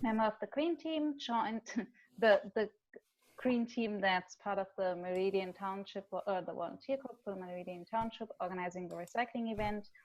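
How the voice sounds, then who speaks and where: A woman with a German accent talks at a moderate pace in a fairly high voice. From Germany. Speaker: volunteer group member. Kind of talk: online meeting discussion. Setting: video call.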